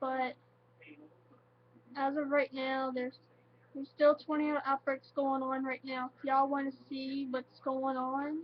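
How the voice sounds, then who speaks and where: A woman talks at a high pitch in a monotone, flat intonation. Her loudness swings widely, and she leaves long, frequent pauses. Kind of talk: casual talk to camera. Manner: halting, emotional.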